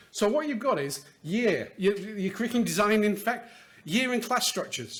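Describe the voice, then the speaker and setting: A man with a British accent speaks high in pitch with lively intonation. Noticeable background noise is present. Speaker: education finance consultant presenter. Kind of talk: conference talk. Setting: stage with audience. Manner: fast.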